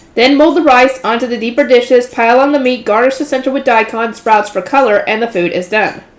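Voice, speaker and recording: A woman's high voice at a fairly quick pace, with hardly any pauses, ordinary pitch variation and noticeable background noise. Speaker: light novel reader, channel host. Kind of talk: reading aloud with commentary. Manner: fast; stumbles over words.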